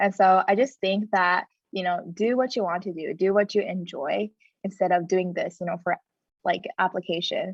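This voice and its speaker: At a medium pitch, a woman speaks with fairly even intonation. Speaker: college student panelist. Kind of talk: panel discussion. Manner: fast.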